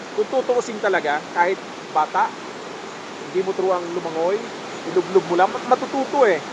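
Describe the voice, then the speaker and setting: Through noticeable background noise, the speech runs at a fairly quick pace but with long, frequent pauses. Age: old. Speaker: vlogger and swimmer. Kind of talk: casual vlog talk. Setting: outdoors at a spring resort.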